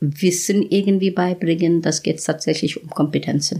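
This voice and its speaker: A woman with a fairly low pitch speaks in an Indian accent. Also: very clean recording, silent background. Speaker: professor of nutrition science. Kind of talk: casual interview. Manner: halting.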